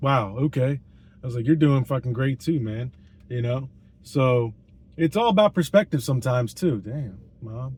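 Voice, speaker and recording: Heard on a very clean recording with a silent background, a man speaks somewhat breathily. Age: 30s. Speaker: vlogger. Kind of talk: casual monologue. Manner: rambling, hesitant with fillers.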